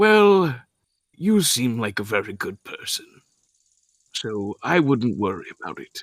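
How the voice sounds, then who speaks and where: A man's put-on character voice at medium pitch, fairly slow with long, frequent pauses, very wide pitch swings and big swings in loudness, in a dry, close sound with no echo. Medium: actual play. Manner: formal, apologetic.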